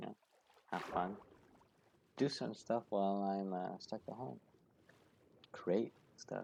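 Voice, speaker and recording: A man speaks fairly slowly in a fairly low voice with a dark, mellow tone. He leaves long, frequent pauses. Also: ordinary pitch variation. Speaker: gaming streamer. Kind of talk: casual gameplay commentary. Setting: at home, living room.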